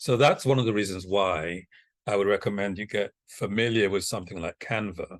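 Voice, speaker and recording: A man's fairly low-pitched voice, a plain, everyday voice, at a moderate pace with ordinary pitch variation against a quiet background. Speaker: communications consultant leading training. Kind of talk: online training orientation.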